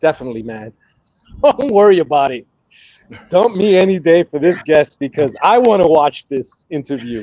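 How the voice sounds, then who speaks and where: In a dark, mellow tone with very wide pitch swings, a man with an American accent talks at a moderate pace in a dry, close sound with no echo. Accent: Brooklyn accent, deep at times. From New York, Brooklyn. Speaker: cigar content creator and historian. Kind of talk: casual chat.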